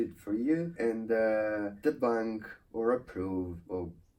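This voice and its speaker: A man speaks with an Italian accent. His voice is fairly low and dark, mellow in tone. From Italy. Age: 30s. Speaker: YouTuber. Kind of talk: channel introduction monologue.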